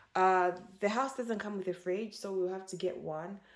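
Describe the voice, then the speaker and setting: Her voice sits at a medium pitch for a woman. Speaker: lifestyle vlogger. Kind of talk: casual vlog talk. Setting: in her new home. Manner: fast.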